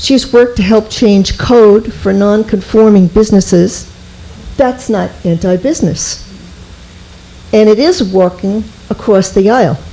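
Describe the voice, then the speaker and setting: Over noticeable background noise, a woman at medium pitch talks at a fairly slow pace with ordinary pitch variation, very even loudness, and long, frequent pauses. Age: 70s. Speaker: resident speaking at public comment. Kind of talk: reading a prepared statement. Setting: town board meeting.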